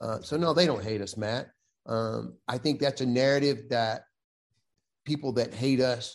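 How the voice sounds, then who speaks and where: With a Southern US accent, a man talks fairly slowly at a medium pitch with ordinary pitch variation. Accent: Southern US (Georgia). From US South, West Central Georgia. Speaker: Navy veteran, sports official and golfer. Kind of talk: casual chat.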